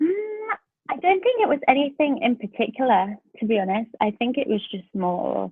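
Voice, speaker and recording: A woman speaks with a South London accent at a moderate pace. Her pitch swings very widely. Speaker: pastor. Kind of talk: podcast interview answer.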